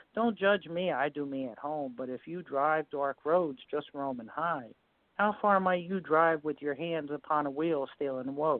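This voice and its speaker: A woman with a very deep, low pitch, ordinary pitch variation and a fairly slow pace. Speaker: poet caller. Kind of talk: poetry reading. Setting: phone call.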